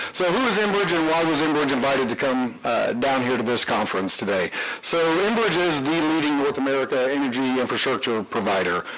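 A man talks at a fairly quick pace with hardly any pauses, using a fairly high pitch with very wide pitch swings. His loudness is very even, and there is noticeable background noise. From Canada. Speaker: energy company executive. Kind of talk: conference presentation. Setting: conference stage with audience.

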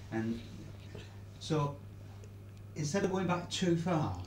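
Noticeable background noise sits behind a man whose pitch swings very widely. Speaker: interviewer, the woman's adult child. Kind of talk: interviewer questions. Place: home room.

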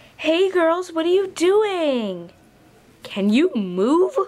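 The pitch is extremely high in this put-on character voice. Its delivery crawls along very slowly. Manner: creepy.

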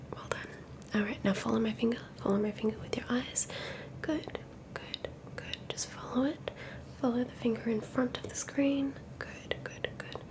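A woman whispers at a moderate pace. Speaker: ASMR creator. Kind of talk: soft guided ASMR instructions. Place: home room. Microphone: studio mic.

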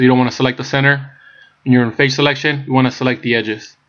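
A man's medium-pitched voice in a flat, monotone delivery. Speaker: blender tutorial creator. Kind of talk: screen-recorded software tutorial narration. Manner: casual, with frequent filler words.

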